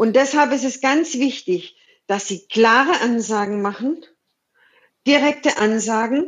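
Over a quiet background, a woman with a high pitch talks at a very slow pace. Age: 50s. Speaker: business coach and podcast host. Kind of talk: conversational interview.

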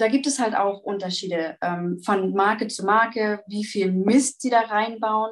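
A woman with a normal speaking voice, fairly high in pitch, at a fairly slow pace with fairly even intonation. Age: 20s. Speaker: vegan nutrition advisor. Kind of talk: interview answers, explanatory.

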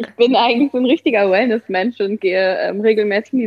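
A woman's unremarkable speaking voice, fairly high in pitch, at a fairly quick pace with ordinary pitch variation. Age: 30s. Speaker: pregnant guest. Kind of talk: casual interview.

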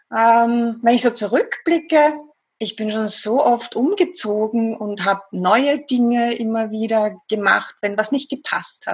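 A woman's fairly high voice with a Viennese accent, ordinary pitch variation and a very slow pace. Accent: Viennese Austrian. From Austria, Vienna. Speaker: psychologist and hypnotherapist. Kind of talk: interview.

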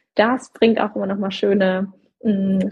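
In a somewhat breathy voice at a medium pitch, a woman speaks with flat, monotone intonation. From southern Germany. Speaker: career coach. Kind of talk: casual chat. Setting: Instagram live video session.

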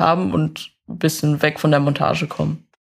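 A woman's voice at a moderate pace. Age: 20s. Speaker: vehicle mechatronics technician. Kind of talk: interview.

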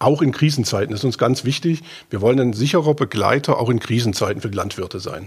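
Talking at a very fast pace, a man sounds somewhat breathy, his intonation lively. The recording is very clean, with a silent background. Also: medium pitch for a man. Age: 50s. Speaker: agricultural bank adviser. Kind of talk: casual interview.

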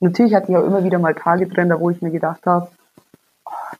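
Speaking very fast, a woman uses a fairly low pitch. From Bavaria, near Munich. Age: 20s. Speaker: psoriasis patient. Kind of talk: casual interview.

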